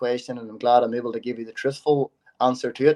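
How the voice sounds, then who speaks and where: In a dry, close sound with no echo, a man talks at a fairly quick pace with a monotone, flat intonation. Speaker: Gaelic football player. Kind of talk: interview answer.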